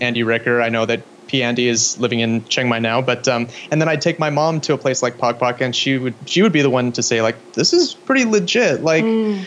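Speaking at a fairly quick pace, a man with a Pacific Northwest accent keeps very even loudness at a medium pitch with ordinary pitch variation. Noticeable background noise runs behind him. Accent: American (Pacific Northwest). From US Pacific Northwest (Spokane, Washington). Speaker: filmmaker. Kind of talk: interview. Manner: halting, many fillers.

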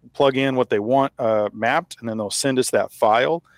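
A plain, everyday voice with an American accent speaks fairly quickly with fairly even intonation, the sound dry and close with no echo. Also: man. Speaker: podcast host and rancher. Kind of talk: interview conversation.

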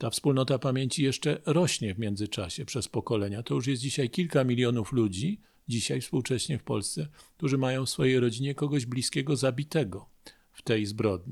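In an ordinary speaking voice, a man talks at a fairly quick pace and medium pitch with ordinary pitch variation, on a very clean recording with a silent background. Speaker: history professor. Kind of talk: radio interview. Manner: formal.

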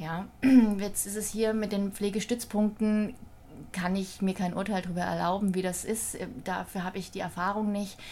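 Somewhat breathy speech at a moderate pace, flat and monotone in intonation. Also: woman, medium pitch for a woman. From Thüringen, eastern Germany. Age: 40s. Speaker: hospital social services manager. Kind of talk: casual interview.

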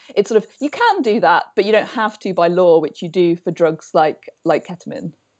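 A woman with medium pitch and a plain, everyday voice talks at a fairly quick pace against a quiet background. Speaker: epidemiologist and author. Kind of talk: casual chat. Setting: video call from home.

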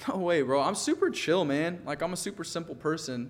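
A man talks with ordinary pitch variation. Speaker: podcast guest, musician and actor. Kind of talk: casual interview, telling his life story.

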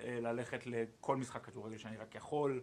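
A man speaks at a medium pitch. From Israel, Ashdod. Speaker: sports journalist, podcast co-host. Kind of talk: casual chat. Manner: halting, many fillers.

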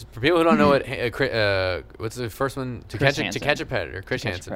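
A man speaks at a moderate pace in a medium pitch, his intonation lively and his loudness swinging widely. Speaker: podcast host. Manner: casual, joking.

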